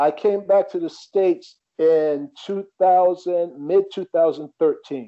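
With an American accent, a man speaks at a very slow pace in a high pitch with fairly even intonation. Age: 40s. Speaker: tennis coach. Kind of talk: interview.

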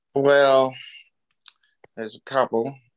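Speaking in an Australian accent, a man keeps a fairly slow pace and fairly even intonation. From Australia (Newcastle, NSW). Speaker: surfboard shaper and pioneering surfer. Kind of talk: casual interview.

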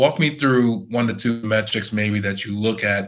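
Fairly low in pitch, this man has a plain, everyday voice and fairly even intonation. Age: 30s. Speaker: podcast host. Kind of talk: interview.

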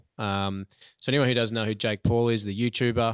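In an Australian accent, a man speaks at a medium pitch with fairly even intonation, the sound dry and close with no echo and the recording very clean over a silent background. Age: 40s. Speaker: podcast co-host. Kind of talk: casual chat.

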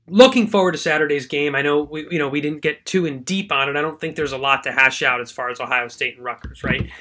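The speaker has a bright, sharp tone and ordinary pitch variation, delivered at a very fast pace. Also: man, fairly high pitch for a man. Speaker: sports podcast host. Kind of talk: casual monologue.

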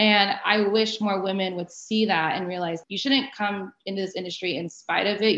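In an American accent, a woman speaks in an unremarkable speaking voice of medium pitch with ordinary variation. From Arizona, US. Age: 30s. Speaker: sports agent. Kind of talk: interview.

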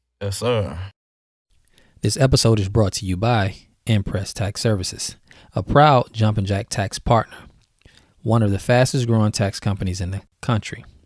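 Long, frequent pauses break up this moderate-paced speech, which has ordinary pitch variation on a very clean recording with a silent background. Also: man, fairly low pitch for a man. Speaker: podcast host. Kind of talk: casual interview chat.

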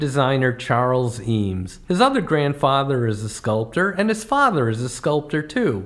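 A man's voice with very wide pitch swings amid noticeable background noise. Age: 60s. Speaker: comedy travel podcaster. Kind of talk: scripted narration.

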